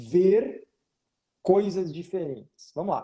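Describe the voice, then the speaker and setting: A man with a Rio Grande do Sul accent has a high pitch and a dark, mellow tone. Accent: Rio Grande do Sul (gaúcho). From Rio Grande do Sul, southern Brazil. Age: 30s. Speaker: photography business mentor, wedding photographer. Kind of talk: live Q&A coaching session. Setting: Instagram live video call. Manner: animated, informal.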